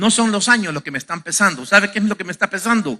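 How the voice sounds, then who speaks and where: Here a man speaks with a bright, sharp tone. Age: 50s. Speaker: pastor. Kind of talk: sermon. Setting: church. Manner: halting.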